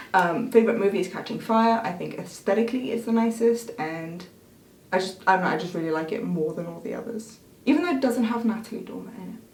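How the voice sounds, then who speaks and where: There is noticeable background noise as a woman talks at a very fast pace. Her loudness swings a lot, while her pitch variation is ordinary. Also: fairly high pitch for a woman. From international schools; half Belgian, half Scottish. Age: 20s. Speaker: YouTuber. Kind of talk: casual Q&A chat.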